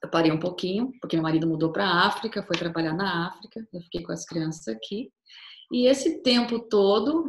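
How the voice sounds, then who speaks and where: A woman with a plain, everyday voice, medium pitch and lively intonation. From Brazil, Cuiabá, Mato Grosso. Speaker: tour guide. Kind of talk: casual interview.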